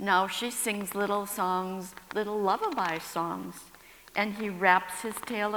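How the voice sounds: The reading voice is natural, and the intonation stays fairly even.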